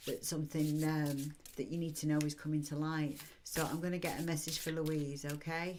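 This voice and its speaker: Her pitch sits very deep and low for a woman. She speaks at a moderate pace. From northern England, Manchester. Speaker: psychic card reader. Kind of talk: live-stream card reading. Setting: live stream. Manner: casual, chatty.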